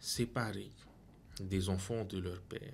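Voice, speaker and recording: Over light background noise, a man speaks with a fairly low pitch, a somewhat breathy quality and fairly even intonation. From French Polynesia. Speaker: pastor. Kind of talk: Bible study discussion. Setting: studio. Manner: halting. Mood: calm, reflective. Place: studio. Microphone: studio mic.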